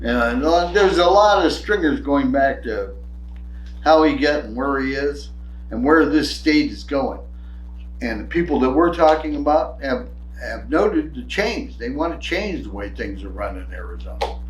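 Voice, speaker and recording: A man with an American accent talks at a moderate pace, his loudness swinging widely. The room echo is audible. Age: old. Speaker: podcast co-host. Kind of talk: casual political chat.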